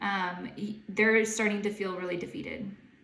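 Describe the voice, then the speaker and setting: A woman talks at a moderate pace and medium pitch, with ordinary pitch variation. Audible room echo surrounds her voice. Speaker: intuitive guide and tarot reader. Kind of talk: tarot reading to camera. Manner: halting, many fillers; casual, chatty.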